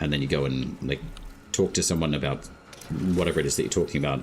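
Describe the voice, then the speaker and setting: With an Australian accent, a man speaks in a very deep, low pitch. Music plays in the background. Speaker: gaming streamer. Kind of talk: casual chat.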